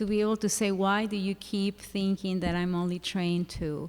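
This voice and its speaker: Here a woman talks with a non-native accent. Her pace is moderate and her intonation fairly even. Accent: noticeable non-native English. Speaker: school psychologist. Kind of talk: panel discussion. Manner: halting.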